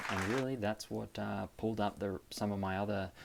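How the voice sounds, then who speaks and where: Very fast speech from a man with an Australian accent, fairly low in pitch, with fairly even intonation. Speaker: premed student vlogger. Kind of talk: casual tutorial vlog. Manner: frequent fillers, hesitant.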